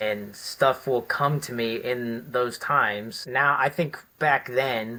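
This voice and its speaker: On a very clean recording with a silent background, a man with a normal speaking voice talks at medium pitch with ordinary pitch variation. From US Midwest, Cleveland, Ohio. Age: 60s. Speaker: retired military special forces veteran. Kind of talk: interview conversation.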